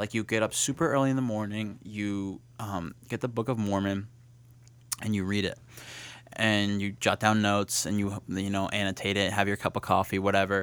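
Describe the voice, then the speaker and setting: A normal speaking voice from a man, with fairly even intonation, a moderate pace and fairly low pitch. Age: 20s. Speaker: college student hosting a campus talk show. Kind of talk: casual chat. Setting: campus studio broadcast.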